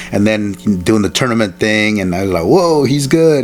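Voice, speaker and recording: Over noticeable background noise, a man with a Spanish accent speaks at a moderate pace and medium pitch with lively intonation. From El Salvador, raised in Alexandria, Virginia. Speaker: martial artist and stuntman. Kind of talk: interview. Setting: in-person interview. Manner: halting, many fillers.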